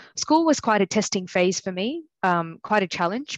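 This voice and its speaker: A strong Australian accent at a fairly quick pace, with a dry, close sound with no echo and a quiet background. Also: woman. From Australia, country New South Wales. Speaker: general practitioner. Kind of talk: personal testimony talk. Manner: hesitant, many fillers.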